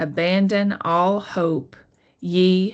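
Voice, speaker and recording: Her voice sits fairly low, with a Southern US accent. The woman speaks against a quiet background. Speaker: college literature teacher. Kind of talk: educational lecture. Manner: slightly halting with self-corrections.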